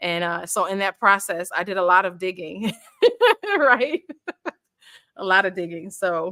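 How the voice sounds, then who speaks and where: Loud and bright, a woman speaks with a sharp tone and ordinary pitch variation. Her pace is moderate, broken by long, frequent pauses. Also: medium pitch for a woman. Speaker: author launching her book. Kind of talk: casual chat.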